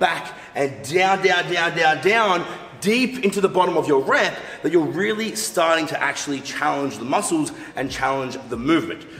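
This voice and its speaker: Audible room echo surrounds the speaker. A man talks at a moderate pace. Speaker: fitness coach. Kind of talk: tutorial. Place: studio.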